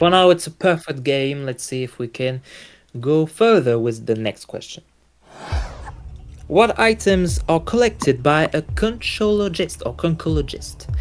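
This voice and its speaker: Fairly slow delivery with music in the background. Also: man. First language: French. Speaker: quiz show host. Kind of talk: game show hosting. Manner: halting.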